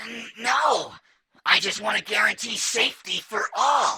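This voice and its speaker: A female-sounding voice, put on as a character voice. The pitch is fairly high and the pace fairly slow. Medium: audio drama.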